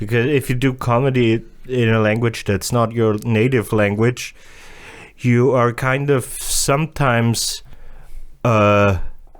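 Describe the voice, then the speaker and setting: A man with a German accent speaks with fairly even intonation on a very clean recording with a silent background. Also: medium pitch for a man, fairly slow pace, very even loudness. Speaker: comedian. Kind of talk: casual chat. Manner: halting.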